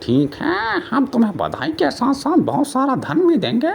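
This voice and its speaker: In a cartoonish character voice, a man speaks at an extremely high pitch and a moderate pace, with clear background noise. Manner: worldly, doubtful.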